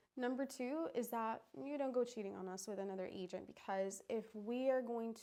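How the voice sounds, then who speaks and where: Speaking at a moderate pace, a woman uses a plain, everyday voice with fairly high pitch and fairly even intonation. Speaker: real estate agent. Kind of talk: recorded workshop presentation.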